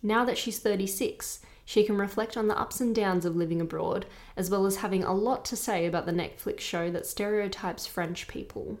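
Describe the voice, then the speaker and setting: A woman speaks in a plain, everyday voice at medium pitch. Her pace is moderate and her intonation fairly even. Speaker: podcast host. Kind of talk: scripted narration and interview. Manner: conversational, blunt.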